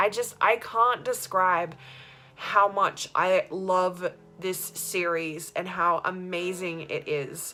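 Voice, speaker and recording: A woman with an Australian accent talks at a medium pitch and a very slow pace, with music playing in the background. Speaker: vlogger. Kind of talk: casual vlog monologue. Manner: animated.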